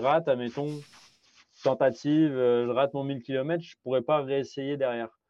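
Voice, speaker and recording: A man's fairly high-pitched voice proceeds at a moderate pace. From France. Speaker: amateur ultra-distance cyclist and podcaster. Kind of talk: interview conversation. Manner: hesitant, many fillers and repetitions.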